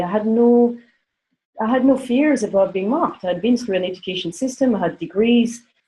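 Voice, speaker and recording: A woman talks at a fairly quick pace with a fairly high pitch and ordinary pitch variation. Her tone is dark and mellow, and somewhat breathy. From France, grew up in Africa. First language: not English. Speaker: panelist. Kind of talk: panel discussion. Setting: conference call. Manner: halting.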